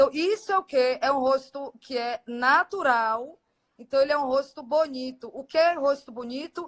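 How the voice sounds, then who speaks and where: A woman talks at a moderate pace, her high voice showing ordinary pitch variation. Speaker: aesthetic doctor. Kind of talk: live stream Q&A. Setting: Instagram live video.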